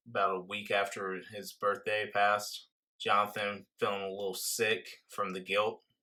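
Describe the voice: Against a quiet background, the clip is plain reading aloud.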